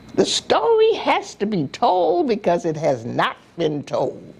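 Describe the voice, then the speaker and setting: A woman with an American accent talks very slowly while clear background noise is heard. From US South. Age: 80s+. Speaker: community elder interviewee. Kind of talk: oral history interview. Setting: on camera interview. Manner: halting.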